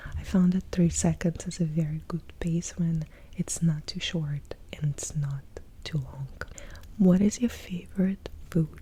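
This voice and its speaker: A woman speaks softly in a relaxed tone, her pitch fairly low. Her intonation stays fairly even at a fairly slow pace. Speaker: ASMR content creator. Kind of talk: casual talk to camera, Q&A. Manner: soft-spoken, lo-fi, relaxed.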